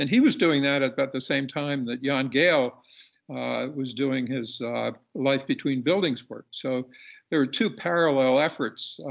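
With ordinary pitch variation, a man delivers his words at a moderate pace in a quiet background. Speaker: podcast guest. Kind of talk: interview answer presenting slides. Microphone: video call.

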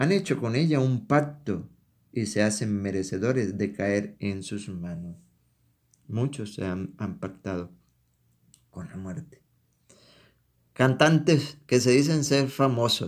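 On a very clean recording with a silent background, a man speaks very slowly with lively intonation and long, frequent pauses. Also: medium pitch for a man. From Venezuela, Táchira. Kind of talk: sermon.

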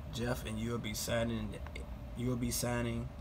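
Male speech at a medium tempo amid clear background noise. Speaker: collector vlogger. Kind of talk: casual vlog chat. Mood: enthusiastic, relaxed. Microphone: phone near.

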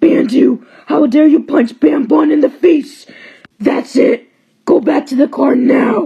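A put-on character voice, high-pitched and raspy, at a fairly slow pace. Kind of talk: fan animation voice acting, several characters. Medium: cartoon. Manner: whiny, shouting arguments.

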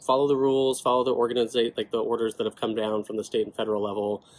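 A man with an American accent speaks at medium pitch, his intonation fairly even. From California. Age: 20s. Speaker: rare disease advocate, legislative aide. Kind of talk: personal testimony to camera. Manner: casual, conversational. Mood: earnest, calm. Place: home room. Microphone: phone near.

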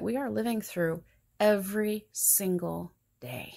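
A very slow delivery over a quiet background. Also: woman. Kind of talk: sermon. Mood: earnest, calm, reflective. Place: home room. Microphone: phone near.

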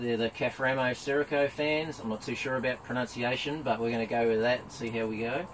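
Over noticeable background noise, a man talks with a New Zealand accent. He moves at a moderate pace with fairly even intonation. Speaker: travel vlogger. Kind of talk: product review. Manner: mumbling; casual, hesitant with ums. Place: tent. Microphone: camera far.

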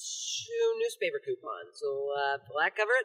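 A man talks fairly slowly with a quiet background behind him. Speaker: amateur skit actor. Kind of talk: comedic acted skit dialogue.

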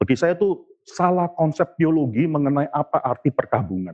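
A man is speaking. The background is quiet. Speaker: preacher. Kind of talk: sermon. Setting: church. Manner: earnest, impassioned preaching with emphatic warnings; expository, explaining the text step by step. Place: church. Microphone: lapel.

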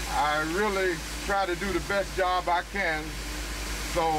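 A man talks fairly slowly, with noticeable background noise around him. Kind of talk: documentary interview answer. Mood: calm, matter-of-fact. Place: car.

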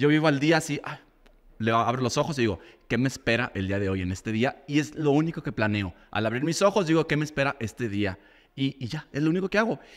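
A fairly high-pitched male voice at a very fast pace, with lively intonation over a quiet background. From Guadalajara, Mexico. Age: 40s. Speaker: makeup artist and teacher; teacher. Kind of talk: casual chat. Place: studio. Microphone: studio mic.

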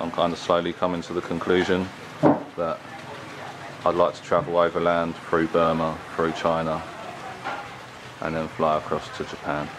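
There is noticeable background noise behind a man. He talks at a moderate pace with long, frequent pauses. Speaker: travel vlogger. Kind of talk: casual vlog talk to camera. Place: open country. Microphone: phone near.

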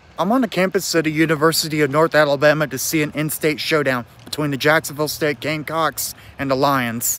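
A man talks at a very fast pace with ordinary pitch variation. The sound is dry, with no echo. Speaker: sports vlogger. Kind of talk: casual vlog chat. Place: street. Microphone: phone near.

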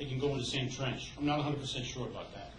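A man talks at a moderate pace. Audible room echo and light background noise accompany him. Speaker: resident, former council member. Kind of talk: public comment. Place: meeting room. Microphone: podium.

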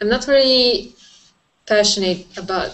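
A woman speaks very slowly with an Italian accent. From Italy. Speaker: design student. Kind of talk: casual chat. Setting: video call. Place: home room. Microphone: video call.

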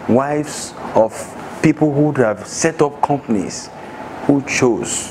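A man speaks over noticeable background noise. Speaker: speaker. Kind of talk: motivational talk. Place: classroom.

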